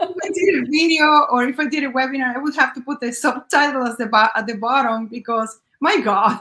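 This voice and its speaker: A woman speaks with a non-native accent in a high pitch. Her voice is raised and projected. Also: ordinary pitch variation, fairly quick pace, hardly any pauses. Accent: noticeable non-native. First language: not English. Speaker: business owner. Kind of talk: interview.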